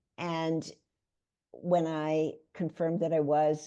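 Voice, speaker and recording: In an American accent, a woman speaks with a dark, mellow tone at a fairly low pitch. The background is quiet. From New York City (Bronx). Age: 80s+. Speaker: author and health educator. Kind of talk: interview.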